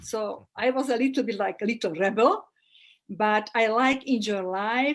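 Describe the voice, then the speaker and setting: A woman with a Slovak accent talks at a fairly slow pace, her fairly high pitch showing ordinary variation. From Slovakia. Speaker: holistic therapist and astrologer. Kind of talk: interview. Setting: live video call. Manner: halting.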